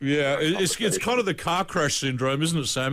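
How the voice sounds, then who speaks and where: Lively intonation from a man, with noticeable background noise throughout. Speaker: radio interviewer. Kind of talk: radio interview.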